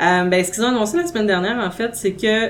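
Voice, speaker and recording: A woman with a Quebec accent at a medium pitch, ordinary pitch variation, and noticeable background noise. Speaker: podcast host. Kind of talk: casual chat.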